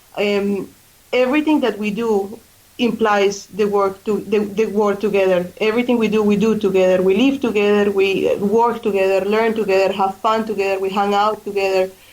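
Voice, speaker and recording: Speaking at a moderate pace with fairly even intonation, a woman with a medium-pitched voice talks in a Colombian accent. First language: Spanish. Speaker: charity fundraising coordinator. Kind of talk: radio interview. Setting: radio studio.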